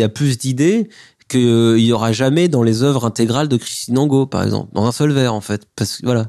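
Over a quiet background, a man with a dark, mellow tone and medium pitch talks at a moderate pace with ordinary pitch variation. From France, Mâcon area. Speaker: poet and author. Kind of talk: interview about his poetry book.

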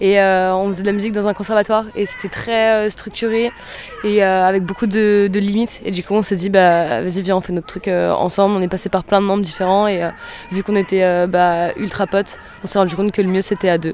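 A woman's monotone, flat intonation comes at a fairly quick pace, with noticeable background noise present. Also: medium pitch for a woman. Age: 20s. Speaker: rock singer and guitarist. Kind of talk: casual interview.

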